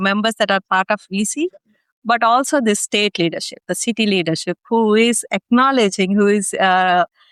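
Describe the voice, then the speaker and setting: Speaking in an Indian accent at a moderate pace, a woman is heard in a dry, close sound with no echo. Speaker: executive leader and community founder. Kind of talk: interview. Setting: podcast recording. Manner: many fillers (ums and ahs).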